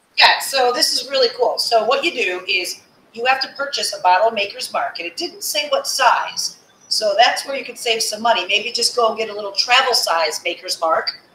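A woman speaks at a high pitch and a moderate pace with very wide pitch swings. Light background noise and audible room echo surround her. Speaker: online happy hour host. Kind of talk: casual live chat. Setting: live video stream. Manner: animated, upbeat. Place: home room.

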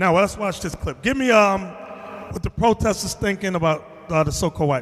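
A man with a high voice for a man speaks at a fairly quick pace with ordinary pitch variation. His loudness swings widely. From US. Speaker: religious teacher. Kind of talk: bible class. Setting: classroom with audience. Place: meeting room. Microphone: handheld.

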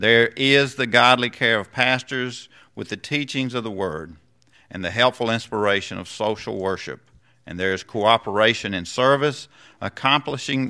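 A man speaks in a bright, sharp tone against a quiet background. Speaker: pastor leading a membership rite. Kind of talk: sermon. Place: church. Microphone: podium.

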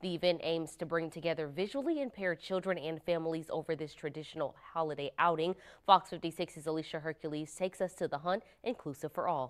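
A woman speaks with a fairly low pitch and ordinary pitch variation, in an unremarkable speaking voice. The background is quiet. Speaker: news anchor. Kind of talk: news reading. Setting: studio. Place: studio. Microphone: lapel.

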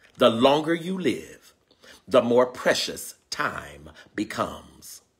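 A man speaks in an animated, warm tone with very wide pitch swings and vocal fry. The background is quiet. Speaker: spiritual teacher and live-stream host. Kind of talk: sermon-like live-streamed spiritual lesson, preacher in full flow. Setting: live video stream with online viewers. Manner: animated, call-and-response, rhythmic repetition of key lines; warm, exuberant, greeting viewers. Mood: joyful, fervent. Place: home room. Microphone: phone near.

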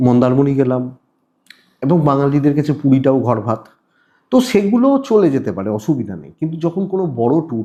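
With an unremarkable speaking voice, a man talks at a fairly high pitch, his intonation lively and his loudness swinging widely. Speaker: astrologer. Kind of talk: horoscope monologue to camera. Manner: repetitive, restarting phrases.

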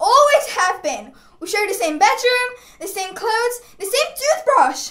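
A woman puts on a character voice, extremely high-pitched with a fairly bright tone and big pitch swings. She goes at a fairly slow pace, with audible room echo.

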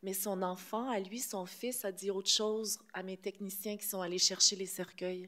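Over a quiet background, a woman talks at a moderate pace with hardly any pauses, her tone bright and sharp and her intonation monotone and flat. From Quebec. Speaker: film director; film director at panel. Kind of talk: press conference; press conference answer. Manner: hesitant, many fillers. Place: hall. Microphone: podium.

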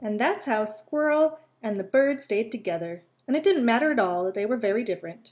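A plain read-aloud delivery with lively intonation.

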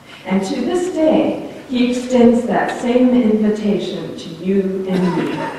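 A woman speaking at a very slow pace amid strong room echo and light background noise. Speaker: preacher. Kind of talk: sermon. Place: church.

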